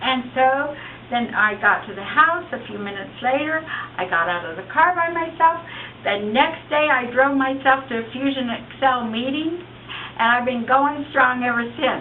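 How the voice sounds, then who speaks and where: Over noticeable background noise and audible room echo, a woman talks at a moderate pace in a high pitch with lively intonation. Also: big swings in loudness. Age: 60s. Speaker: product user giving testimonial. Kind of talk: testimony.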